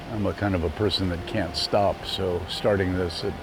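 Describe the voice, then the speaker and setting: A man speaks in a flat, monotone way with a very deep, low pitch. Noticeable background noise and audible room echo fill the recording. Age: 70s. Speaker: golf course owner and developer. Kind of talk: casual chat.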